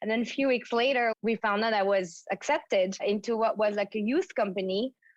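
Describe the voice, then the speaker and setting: Keeping very even loudness, a woman talks at a fairly quick pace with a fairly high pitch and ordinary pitch variation. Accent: French. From France, Paris suburbs. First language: French. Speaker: fitness trainer and former ballerina. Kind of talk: interview storytelling.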